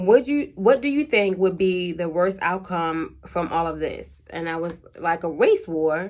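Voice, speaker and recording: In an American accent, a woman with an ordinary speaking voice talks at a medium pitch and a fairly slow pace, with lively intonation, on a very clean recording with a silent background. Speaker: YouTuber answering Q&A. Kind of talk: casual vlog monologue.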